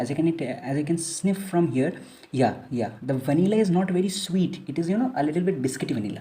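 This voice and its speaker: Audible room echo surrounds a woman's very deep, low voice, which is dark, mellow and somewhat breathy. She moves at a fairly quick pace with lively intonation. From India, Kolkata. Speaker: fragrance reviewer. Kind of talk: product review. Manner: casual, with many fillers.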